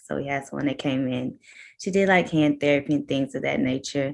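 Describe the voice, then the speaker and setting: Her intonation rises and falls in a lively way. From New Orleans, Louisiana. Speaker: doctoral OT student and business founder. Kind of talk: casual interview chat. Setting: video call.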